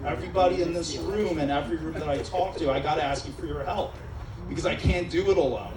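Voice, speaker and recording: A man with an American accent at a very fast pace, with noticeable background noise and audible room echo. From Israel. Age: 40s. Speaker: judicial candidate. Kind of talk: campaign speech. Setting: restaurant event with live audience. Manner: animated. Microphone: PA microphone with echo in his ear.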